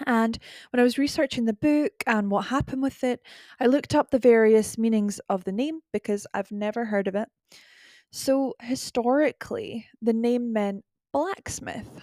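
Recorded very cleanly against a silent background, with a dry, close sound and no echo, a voice with a Scottish accent and a dark, mellow tone speaks at a moderate pace with ordinary pitch variation. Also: woman, fairly high pitch for a woman. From UK. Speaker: podcast host. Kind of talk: solo podcast narration, relaxed. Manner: casual, chatty, laughs often.

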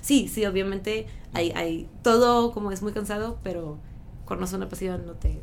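There is audible room echo around a woman whose medium-pitched voice keeps a fairly even intonation. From northern France (Lille). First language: French (speaking Spanish). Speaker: schoolteacher. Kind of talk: interview.

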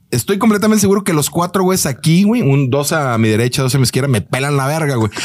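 A man's fairly high voice at a very fast pace, with very wide pitch swings, very even loudness, hardly any pauses and noticeable background noise. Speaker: comedic content creator, football fan. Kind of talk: casual chat.

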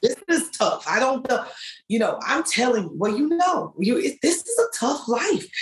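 A woman speaks in a high voice with a slight Southern US accent at a moderate pace. Her pitch swings very widely while her loudness stays very even. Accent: slight Southern twang. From US Midwest. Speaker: author and blogger. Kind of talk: casual interview conversation.

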